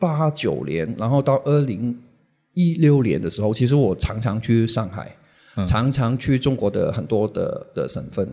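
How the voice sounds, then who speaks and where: On a very clean recording with a silent background, a man talks at a moderate pace in a medium pitch, his tone dark and mellow. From Hong Kong. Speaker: social media manager, former magazine publisher. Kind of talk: interview. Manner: halting.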